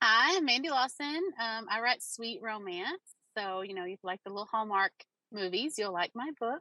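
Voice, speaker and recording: A woman speaks with a slight Southern US accent at a moderate pace, her fairly high pitch carrying a bright, sharp tone. Her intonation is lively, and the sound is dry and close with no echo. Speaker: romance author. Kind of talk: panel discussion.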